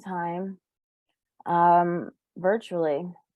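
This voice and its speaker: A woman speaks with a New York accent in a fairly low pitch. Her intonation stays monotone and flat. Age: young. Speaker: recovering addict sharing story. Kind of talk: testimony.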